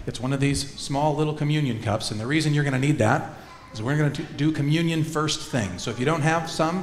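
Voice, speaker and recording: A man at a fairly quick pace, with audible room echo and faint background music. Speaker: minister leading worship. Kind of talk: worship service announcements and liturgy. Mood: warm, joyful. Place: church.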